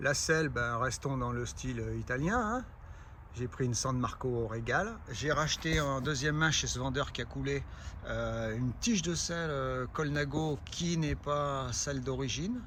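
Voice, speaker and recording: Audible room echo around a man talking at a fairly slow pace. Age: 60s. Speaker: amateur cyclist vlogger. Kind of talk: casual product presentation. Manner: hesitant, many filler sounds.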